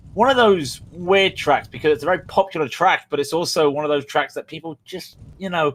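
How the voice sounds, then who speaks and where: This man has an English accent. He talks at a moderate speed. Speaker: sim racing commentator. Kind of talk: live commentary.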